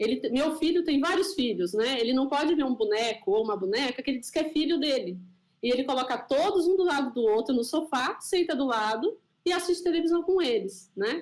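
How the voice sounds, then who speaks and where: A woman's high voice moves in very wide pitch swings. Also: fairly quick pace. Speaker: scientist and panel moderator. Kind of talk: panel discussion. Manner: loud; animated.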